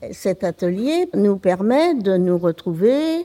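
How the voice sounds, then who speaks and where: A woman's medium-pitched voice with a dark, mellow tone, lively intonation, and a very slow pace. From France, Anjou countryside (Maine-et-Loire). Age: 80s+. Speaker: retiree, workshop participant. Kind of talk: casual chat. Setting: community centre. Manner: halting.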